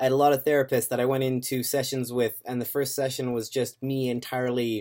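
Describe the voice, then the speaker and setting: A man with a Canadian accent and an unremarkable speaking voice talks at a medium pitch and a fairly quick pace. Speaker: vlogger. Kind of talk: casual vlog update. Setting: home webcam recording. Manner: casual, many fillers.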